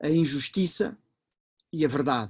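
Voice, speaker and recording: A man at a fairly high pitch, with a European Portuguese accent and a fairly slow pace. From Portugal. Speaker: professor. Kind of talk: lecture. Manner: halting, many fillers.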